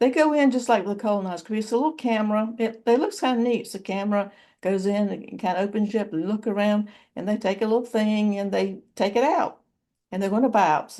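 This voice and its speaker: Over a quiet background, a woman with a dark, mellow tone talks at a fairly quick pace in a fairly high pitch with ordinary pitch variation. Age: 70s. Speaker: YouTuber. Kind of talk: personal vlog. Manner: halting.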